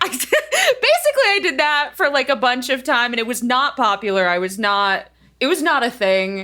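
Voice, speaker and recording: A woman with a bright, sharp tone uses a raised, projected voice at a moderate pace, her high pitch moving in very wide swings. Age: 30s. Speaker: voice actor and online singer. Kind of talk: casual chat.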